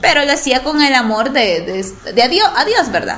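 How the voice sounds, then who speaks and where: A woman's voice at a moderate pace, with noticeable background noise and audible room echo. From El Salvador, La Paz coast. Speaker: sports journalist. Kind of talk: interview.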